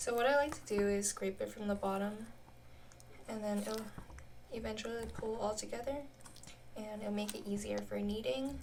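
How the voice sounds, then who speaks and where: A woman with an American accent talks at a moderate pace, taking long, frequent pauses over noticeable background noise. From United States. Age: 20s. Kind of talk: casual talk to camera.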